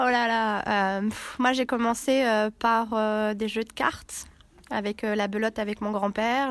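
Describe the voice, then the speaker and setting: In a very clean recording with a silent background, the speech is very slow with fairly even intonation. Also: woman, big swings in loudness. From Villefranche-sur-Saône, France. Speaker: board game club member. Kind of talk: interview. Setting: board game event.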